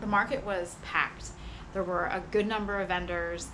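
A woman speaks while noticeable background noise can be heard. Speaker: vlogger. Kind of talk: casual vlog chat. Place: street. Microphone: camera far.

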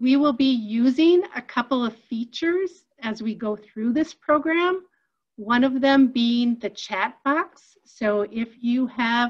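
High in pitch with ordinary pitch variation, a woman speaks at a very slow pace. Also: quiet background. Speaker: webinar host. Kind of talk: webinar introduction. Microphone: video call.

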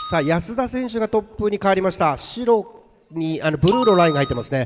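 Noticeable background noise runs throughout. A man speaks at a fairly quick pace. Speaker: race announcer. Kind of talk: live race commentary. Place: hall.

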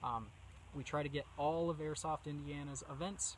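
A man speaks in a somewhat breathy voice, with light background noise and a dry sound with no echo. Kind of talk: casual vlog talk. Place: forest.

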